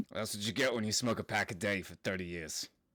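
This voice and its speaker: In a raspy, put-on character voice pitched fairly low, a man talks at a fairly quick pace, with a dry, close sound with no echo on a very clean recording with a silent background. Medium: actual play. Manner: blunt, gruff.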